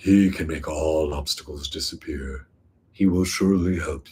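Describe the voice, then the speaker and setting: In a put-on character voice, a man speaks at a moderate pace with a very deep, low pitch on a very clean recording with a silent background. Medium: read story. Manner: majestic.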